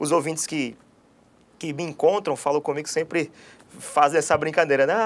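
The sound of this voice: A man speaks at a fairly high pitch on a very clean recording with a silent background.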